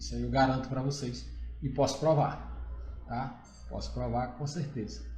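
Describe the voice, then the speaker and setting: Music in the background and audible room echo around a man's voice. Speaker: accountant. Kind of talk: live stream Q&A, informal presentation. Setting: live stream.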